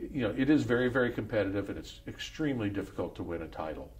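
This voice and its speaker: Fairly quick speech with lively intonation and audible room echo. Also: man. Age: 70s. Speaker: former pro golfer. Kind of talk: interview.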